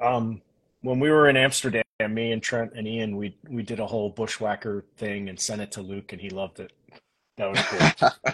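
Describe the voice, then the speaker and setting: A man in an American accent with a normal speaking voice, medium pitch and big swings in loudness. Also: moderate pace. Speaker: podcast host and wrestling promoter. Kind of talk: casual chat. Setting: video call. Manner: excitable.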